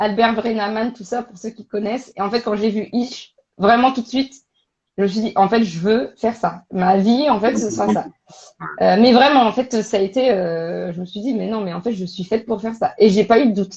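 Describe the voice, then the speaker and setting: A woman with a fairly high pitch talks at a moderate pace, with ordinary pitch variation and big swings in loudness. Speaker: career coach and recruitment expert. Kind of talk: casual interview on a live stream. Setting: online live stream. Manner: animated, hesitant with many fillers.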